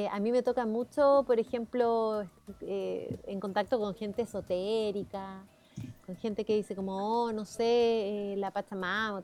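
With music in the background, a woman speaks fairly slowly at a fairly high pitch with ordinary pitch variation. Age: 40s. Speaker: journalist and teacher. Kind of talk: radio interview.

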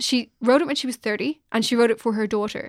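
With an Irish accent and a high pitch, a woman speaks at a fairly quick pace with ordinary pitch variation, in a dry, close sound with no echo on a very clean recording with a silent background. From Ireland. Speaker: journalist and podcast co-host. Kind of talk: casual chat.

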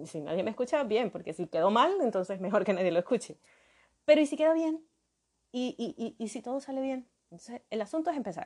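A woman speaks fairly quickly at a fairly high pitch. Both her pitch and loudness swing widely. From Venezuela, Maracaibo (Zulia). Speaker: podcast host, graphic designer. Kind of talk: solo podcast monologue. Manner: hesitant, many fillers and repetitions.

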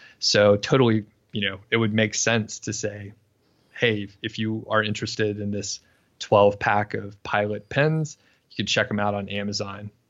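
A normal speaking voice with an American accent keeps to a moderate pace. Its intonation is fairly even. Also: man, fairly low pitch for a man. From US South. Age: 30s. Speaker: online business owner. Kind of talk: interview. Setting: remote call.

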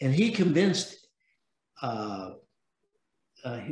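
This man's voice is somewhat breathy, with lively intonation. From San Francisco, US West Coast. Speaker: venture capitalist. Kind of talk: interview.

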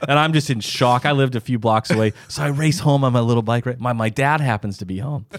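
Over noticeable background noise, a man with an American accent talks very fast at medium pitch with ordinary variation, recorded dry and close with no echo. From US Midwest, Sioux Falls, South Dakota. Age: 40s. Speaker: doctor and podcast host. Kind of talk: casual chat.

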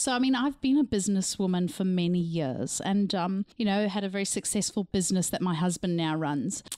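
With hardly any pauses, a woman talks in a slight Zimbabwean accent, using a medium pitch, a dark, mellow tone and lively intonation. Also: fairly quick pace. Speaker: artist. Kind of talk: casual chat.

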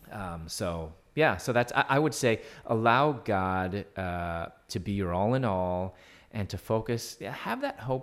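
This man has an unremarkable speaking voice and an American accent. His pitch sits fairly low and varies in an ordinary way. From United States. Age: 50s. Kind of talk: interview.

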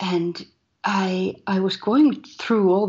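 A woman speaks at a very slow pace with a Finnish accent. The background is quiet. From Finland. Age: 30s. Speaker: poet, musician and filmmaker. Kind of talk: interview. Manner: halting.

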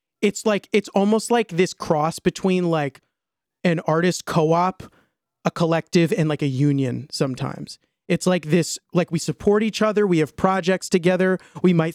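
Recorded with a dry, close sound and no echo, the speaker talks at a moderate pace in an American accent with fairly even intonation. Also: man. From US Mid-Atlantic, Maryland suburbs. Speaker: musician and content creator. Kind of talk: podcast interview.

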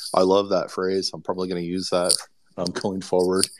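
A man speaks in a very deep, low voice. The recording is very clean, with a silent background. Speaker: NFT collector. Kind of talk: casual chat. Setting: Twitter space audio room.

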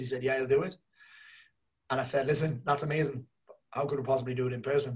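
Somewhat breathy, the voice runs at a very fast pace with fairly even intonation. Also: man. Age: 40s. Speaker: life coach and mentor. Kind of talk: casual chat.

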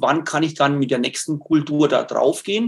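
Fairly slow speech from a man with a fairly high pitch and ordinary pitch variation. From Lower Franconia, northern Bavaria (near Würzburg). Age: 60s. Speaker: nature educator and self-sufficiency gardener. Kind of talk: webinar talk answering questions. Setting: online webinar.

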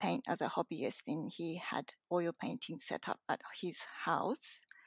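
With a Japanese accent, a woman speaks at a fairly slow pace and fairly low pitch, in a dry, close sound with no echo. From Japan, moved to Australia at ten. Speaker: painter. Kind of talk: interview. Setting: remote call from home. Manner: hesitant, many fillers.

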